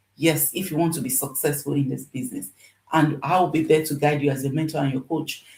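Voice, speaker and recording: A woman speaks at a fairly quick pace in a very deep, low pitch, somewhat breathy, with ordinary pitch variation. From Nigeria. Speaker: nurse and online business coach. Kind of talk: live stream sales pitch. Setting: livestream. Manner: emphatic, repetitive.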